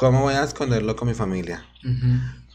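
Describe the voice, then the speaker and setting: Here a man speaks with a normal speaking voice in a medium pitch. His pace is fairly slow. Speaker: drag queen. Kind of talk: casual chat.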